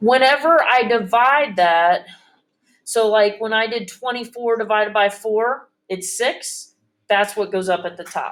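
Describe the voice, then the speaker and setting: Speaking at a fairly slow pace, a woman with a normal speaking voice uses a fairly high pitch and ordinary pitch variation, captured in a very clean recording with a silent background. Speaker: math teacher. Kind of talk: classroom lesson.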